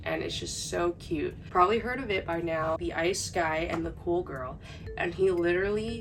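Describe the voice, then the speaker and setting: At a fairly slow pace, a woman talks while music plays behind her. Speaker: manga collector / booktuber. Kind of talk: casual talk to camera. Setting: home, heater noise in background. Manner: quiet, low volume.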